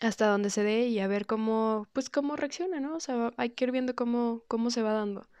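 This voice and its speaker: A woman with a plain, everyday voice speaks at a moderate pace. Her pitch is fairly high, with ordinary variation, over a quiet background. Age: 20s. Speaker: rock guitarist and singer. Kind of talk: interview.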